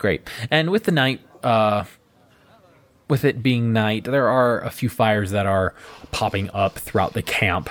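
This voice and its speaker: A man with an ordinary speaking voice talks at a medium pitch, showing ordinary pitch variation. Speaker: dungeon master / game host. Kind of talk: tabletop roleplaying actual play, narration and banter.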